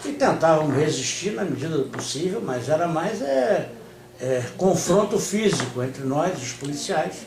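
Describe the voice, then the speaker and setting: A man's fairly high voice, fairly slow, with lively intonation, noticeable background noise and audible room echo. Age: 60s. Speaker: communist party leader. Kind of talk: interview. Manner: hesitant, many fillers.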